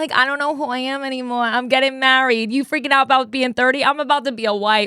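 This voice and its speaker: A woman with a New Jersey accent speaks at a very fast pace in a raised, projected voice. Her pitch is high and her tone bright and sharp. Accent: Jersey accent, still noticeable. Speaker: podcast host. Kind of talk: casual chat. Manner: intense, energetic.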